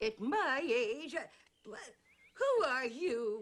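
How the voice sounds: A woman puts on a cartoonish character voice, pitched high. She speaks very slowly with very wide pitch swings.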